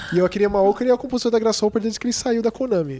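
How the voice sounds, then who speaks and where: A man is speaking. His pace is very fast. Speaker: video game journalist. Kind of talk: casual chat.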